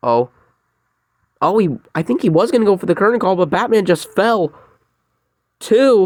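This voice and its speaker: A man speaks at a high pitch and leaves long, frequent pauses. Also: lively intonation, moderate pace. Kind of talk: video game commentary. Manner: excitable.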